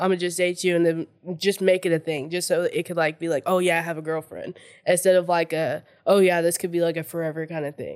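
A woman with an American accent speaks at a very fast pace in a monotone, flat intonation. The recording is very clean, with a silent background. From Oklahoma, US. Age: 20s. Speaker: therapist. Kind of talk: casual chat. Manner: halting.

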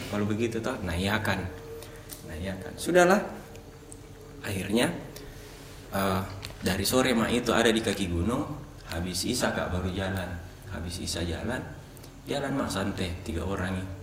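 A man with a fairly low pitch speaks at a moderate pace, leaving long, frequent pauses. His pitch varies in an ordinary way over audible room echo and noticeable background noise. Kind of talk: casual chat, horror storytelling.

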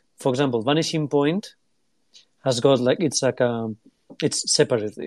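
This man has a non-native accent. His pitch is fairly high. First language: not English. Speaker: retro computer collector. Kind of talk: casual chat. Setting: online audio room.

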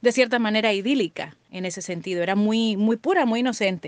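With a plain, everyday voice, a woman speaks at a moderate pace, her pitch fairly high with ordinary pitch variation, in a dry, close sound with no echo. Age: 40s. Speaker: former schoolmate. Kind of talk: recorded personal reminiscence.

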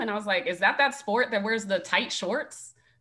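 With noticeable background noise behind her, a woman talks at a moderate pace and a medium pitch. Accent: American. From Las Vegas, Nevada. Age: 30s. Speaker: college volleyball head coach. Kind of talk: casual interview.

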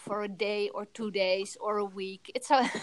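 A woman with a Dutch accent speaks at a fairly high pitch. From Netherlands. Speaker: photographer. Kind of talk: interview.

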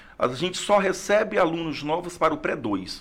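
This man has an unremarkable speaking voice. He talks at a fairly slow pace with ordinary pitch variation. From Brazil, Acre (Rio Branco). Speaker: history teacher and school principal. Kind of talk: interview conversation.

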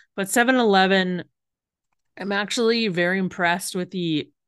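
A woman with a Canadian accent talks at a fairly slow pace against a quiet background. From Western Canada. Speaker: podcast host. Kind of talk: casual solo podcast chat. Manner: hesitant, many fillers.

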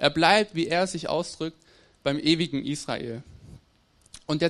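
A man speaks with a fairly high-pitched voice. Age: 20s. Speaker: theology student. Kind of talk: sermon. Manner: halting.

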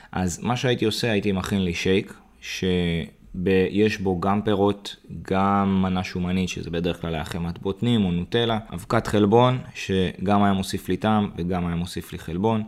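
A man with a very deep, low voice talks at a moderate pace with hardly any pauses. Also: fairly even intonation. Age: 30s. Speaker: fitness coach. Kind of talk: podcast monologue tutorial.

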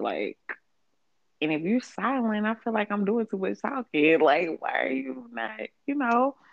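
With vocal fry and very wide pitch swings, a woman speaks at a moderate pace. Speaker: podcast co-host. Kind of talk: casual chat.

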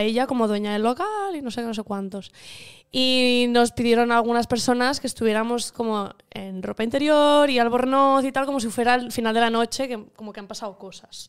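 A woman at a high pitch and fairly quick pace, with fairly even intonation. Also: big swings in loudness. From Catalonia, Igualada. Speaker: actress. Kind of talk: casual interview.

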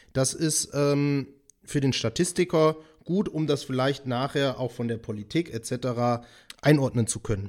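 On a very clean recording with a silent background, a man with an ordinary speaking voice talks at a fairly slow pace, at medium pitch with ordinary pitch variation. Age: 30s. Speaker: podcast host. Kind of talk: casual interview chat.

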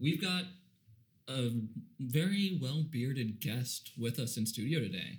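A man's medium-pitched, somewhat breathy voice at a fairly slow pace, with long, frequent pauses. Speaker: podcast co-host. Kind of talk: casual chat. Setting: studio.

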